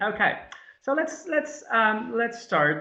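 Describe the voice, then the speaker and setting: A man's lively intonation at a moderate pace, with audible room echo. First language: not English. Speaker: academic presenter. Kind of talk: webinar presentation. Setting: online webinar. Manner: halting, many fillers.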